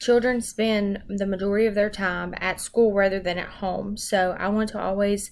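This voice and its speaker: Here a woman speaks with a Southern US accent at a moderate pace. Her medium-pitched voice has monotone, flat intonation. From US South, Arkansas. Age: 20s. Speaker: education student. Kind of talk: self-introduction. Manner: hesitant, many ums.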